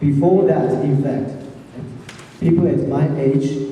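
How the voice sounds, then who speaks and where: A man with a Chinese accent speaks with ordinary pitch variation. Noticeable background noise and audible room echo fill the recording. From China. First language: Mandarin Chinese. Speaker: teacher. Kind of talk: question and answer talk to students.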